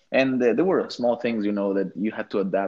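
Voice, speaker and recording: Fairly low-pitched man with an Ecuadorian accent and ordinary pitch variation. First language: Spanish. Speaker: architect. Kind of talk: casual chat.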